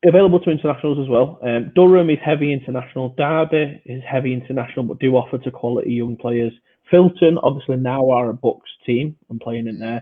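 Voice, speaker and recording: A man with a British accent talks at a very fast pace with hardly any pauses. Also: medium pitch for a man, ordinary pitch variation. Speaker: podcast host and amateur American football player. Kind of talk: casual podcast chat.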